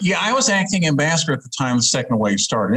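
With an American accent, a man talks using lively intonation. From Alabama (Huntsville), US South. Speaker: diplomat. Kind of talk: interview. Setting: video call.

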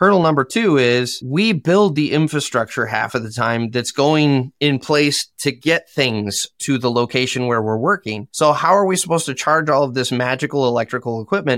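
A man with an American accent speaks at a medium pitch and moderate pace, with lively intonation and hardly any pauses. The sound is dry and close with no echo, in a very clean recording with a silent background. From Michigan, US. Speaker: dirt contractor and construction content creator. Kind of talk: casual interview chat.

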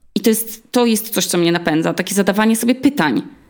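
Words come at a very fast pace. The intonation is lively. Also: woman. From Poland, Olsztyn (Warmia). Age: 30s. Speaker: podcaster. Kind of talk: interview.

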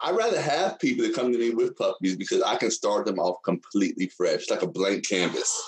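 A man speaks with a Texan accent at a fairly quick pace. His loudness stays very even, with hardly any pauses. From Texas. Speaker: dog trainer and Air Force veteran. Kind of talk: casual interview chat.

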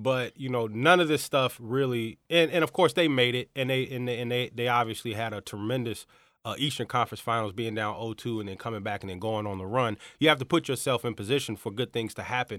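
The man's pitch sits at a medium level with ordinary variation. He speaks at a very fast pace. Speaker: sports podcast co-host. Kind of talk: casual banter.

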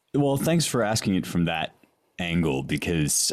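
A booming male voice with ordinary pitch variation. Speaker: podcast host and classics scholar. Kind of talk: casual intellectual interview. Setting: remote audio call with headphones.

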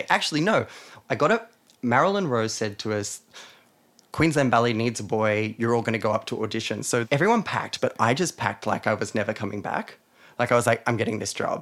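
Talking at a very fast pace, a man with an Australian accent keeps a medium pitch and ordinary pitch variation. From Australia, New South Wales (Hunter region). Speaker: dancer and choreographer. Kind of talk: interview.

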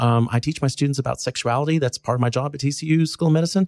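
A very fast, somewhat breathy voice with a Texan accent and lively intonation, dry and close with no echo, on a very clean recording with a silent background. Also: man. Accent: Texan Southern US. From North Texas. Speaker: pediatrician. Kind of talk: interview.

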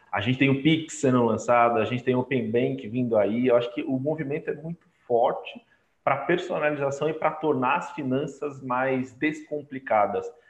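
A normal speaking voice, a man's, fairly high in pitch, with ordinary pitch variation and a moderate pace. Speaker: digital transformation lead. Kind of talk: casual chat.

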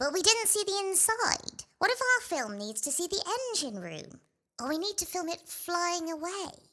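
This put-on character voice has an extremely high pitch and moves at a moderate pace. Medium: audio drama.

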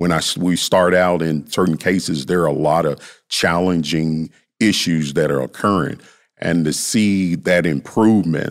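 Set in a very clean recording with a silent background, the speaker talks at a moderate pace in a Southern US accent, with very even loudness. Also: man. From US South, Memphis. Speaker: youth behavioral health worker. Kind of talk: interview.

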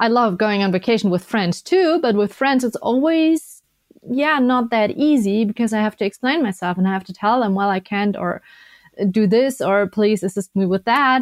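A woman's fairly high voice with a German accent and lively intonation, at a moderate pace, dry and close with no echo. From Germany. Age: 20s. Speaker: Paralympic skier and biathlete. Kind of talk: interview.

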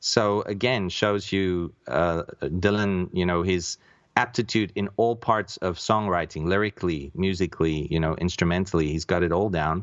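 A man's very deep, low voice at a moderate pace. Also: ordinary pitch variation, hardly any pauses. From South Africa. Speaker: podcaster. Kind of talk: casual chat.

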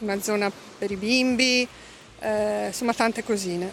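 At a very slow pace, a woman speaks with medium pitch. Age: 50s. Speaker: expat interviewee. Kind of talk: interview, personal story. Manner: halting.

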